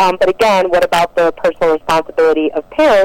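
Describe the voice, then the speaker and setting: A woman's fairly low voice at a very fast pace, with a dry, close sound and no echo. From Detroit, Michigan, US. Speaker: First Amendment attorney. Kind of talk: radio interview.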